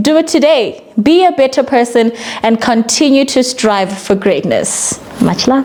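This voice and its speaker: Through noticeable background noise, a woman speaks at a moderate pace in a high voice, her pitch swinging very widely while her loudness stays very even. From South Africa. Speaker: radio presenter. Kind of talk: short motivational message to camera.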